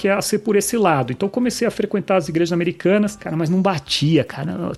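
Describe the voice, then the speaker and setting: The speaker has a Brazilian accent. The pace is fairly quick. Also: man. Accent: Brazilian, noticeable in English. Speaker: engineer, Brazilian immigrant. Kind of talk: casual interview chat. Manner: animated.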